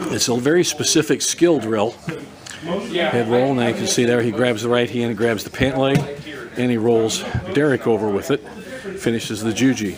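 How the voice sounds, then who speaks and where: With long, frequent pauses, a man speaks at a moderate pace and medium pitch with ordinary pitch variation over noticeable background noise. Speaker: judo coach. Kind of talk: live demonstration commentary. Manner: halting.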